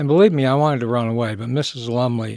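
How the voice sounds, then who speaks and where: This man has an American accent, medium pitch and fairly even intonation, recorded with a dry, close sound with no echo. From Michigan, US. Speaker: recovering alcoholic, business owner. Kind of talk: interview testimony.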